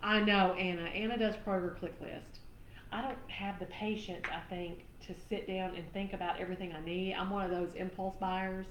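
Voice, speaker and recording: Over noticeable background noise and audible room echo, a woman with a Southern US accent speaks at a moderate pace in a monotone, flat delivery. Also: medium pitch for a woman. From Tennessee, US South. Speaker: craft live-stream host. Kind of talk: live craft demo chat. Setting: live stream.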